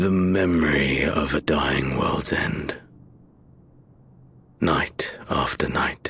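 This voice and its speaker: A man whispers in a put-on character voice at a very slow pace. Long, frequent pauses break up his speech. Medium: video game. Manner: cold, tired, terse.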